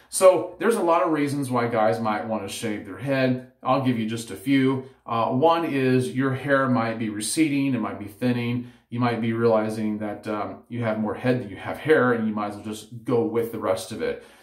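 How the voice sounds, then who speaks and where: A man talks at a moderate pace with hardly any pauses, ordinary pitch variation and big swings in loudness. The background is quiet, with audible room echo. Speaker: head shaving vlogger. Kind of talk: tutorial. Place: home room. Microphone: phone near.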